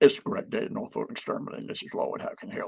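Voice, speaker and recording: A man uses a put-on character voice. He talks at a very fast pace. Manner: flat, lifeless, unenthusiastic.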